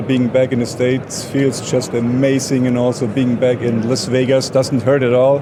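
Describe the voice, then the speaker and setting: Over noticeable background noise, a man with a strong German accent speaks in a monotone, flat intonation at a medium pitch and moderate pace. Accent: heavy German. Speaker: product marketing manager. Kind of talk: trade show interview.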